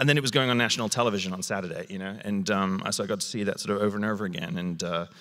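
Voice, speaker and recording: Fairly even intonation marks this speaker with a British accent. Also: man. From South Wales. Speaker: TV and film director. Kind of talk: onstage interview. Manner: halting, many fillers and repeats.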